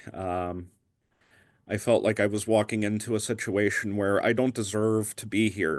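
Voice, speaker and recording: A man speaks with an American accent in a fairly low pitch. The background is quiet. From Pennsylvania. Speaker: guest sharing conversion story. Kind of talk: testimony. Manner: halting, frequent ums.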